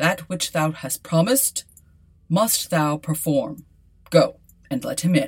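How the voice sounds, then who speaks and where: Putting on a character voice, a woman with a fairly low pitch speaks at a fairly slow pace with lively intonation and long, frequent pauses. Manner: commanding, stern.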